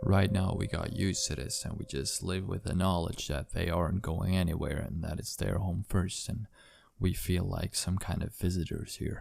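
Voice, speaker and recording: The voice shows vocal fry. The speech moves at a moderate pace with fairly even intonation. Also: man, very deep, low pitch for a man. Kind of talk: horror story narration.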